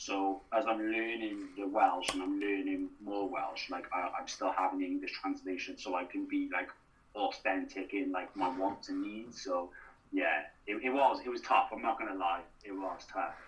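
Speaking at a moderate pace, a man talks with a South Wales accent. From Wales, Newport. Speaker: actor and writer. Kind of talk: casual interview.

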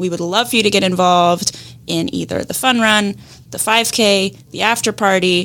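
At a medium pitch and moderate pace, a woman talks in a normal speaking voice. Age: young. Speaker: podcast co-host, digital marketer. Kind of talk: casual interview chat; scripted outro with announcements.

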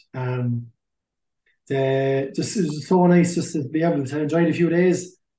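A man with a southeast Irish accent, a dark, mellow tone, ordinary pitch variation and a fairly slow pace. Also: fairly high pitch for a man. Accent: Irish (Carlow). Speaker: hurling team captain. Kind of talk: casual interview. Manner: hesitant, many fillers.

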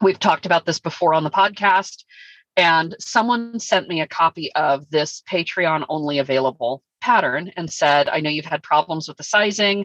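A woman's ordinary speaking voice at fairly low pitch, moderate in pace with ordinary pitch variation, dry and close with no echo over a quiet background. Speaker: sewing podcast co-host. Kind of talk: casual chat. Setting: in a car.

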